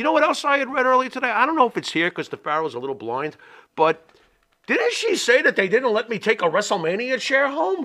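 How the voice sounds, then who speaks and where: Raised and projected, a man's voice rings out at an extremely high pitch in a bright, sharp tone. He talks at a very fast pace with very wide pitch swings. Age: 50s. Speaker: wrestling podcast co-host. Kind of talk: casual chat.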